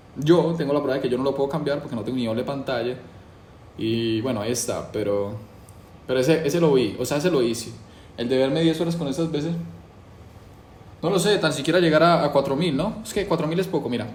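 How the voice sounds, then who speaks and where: Talking at a very fast pace yet with long, frequent pauses, a somewhat breathy man with a fairly high pitch and ordinary pitch variation is heard with audible room echo. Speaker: YouTuber doing a challenge. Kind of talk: casual monologue to camera. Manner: casual, hesitant with fillers.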